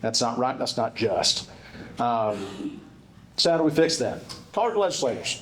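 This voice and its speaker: A man with a South Carolina accent talks at a very fast pace, with audible room echo. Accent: Upstate South Carolina Southern. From South Carolina Upstate, Spartanburg County. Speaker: state legislator. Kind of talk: speech at a dinner event. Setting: stage with audience at annual dinner. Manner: casual, with fillers and repetitions.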